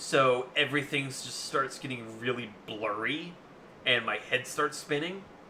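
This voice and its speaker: Noticeable background noise sits behind a man speaking at a fairly slow pace with fairly high pitch. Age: 20s. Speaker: gaming streamer. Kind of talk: casual chat. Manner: loud; halting.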